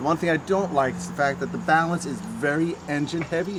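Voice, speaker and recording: Noticeable background noise surrounds a man talking at a fairly quick pace. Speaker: renovation contractor reviewing tools. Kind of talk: product review tutorial. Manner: fast; casual, with fillers.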